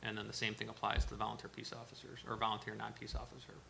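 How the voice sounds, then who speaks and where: Talking very fast, a man is heard with noticeable background noise and audible room echo. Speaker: town official presenting to board. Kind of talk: presentation at board workshop. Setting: town board meeting.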